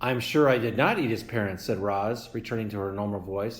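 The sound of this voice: With fairly even intonation, the delivery comes in an unforced reading voice.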